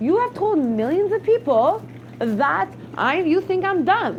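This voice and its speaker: A woman speaks with very wide pitch swings while noticeable background noise plays. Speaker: reality show contestant. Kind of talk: heated venting in casual chat.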